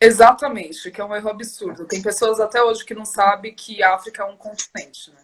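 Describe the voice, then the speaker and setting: A plain, everyday voice, fairly quick with hardly any pauses, fairly even intonation and big swings in loudness. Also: woman, fairly high pitch for a woman. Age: 30s. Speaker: activist guest. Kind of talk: casual chat.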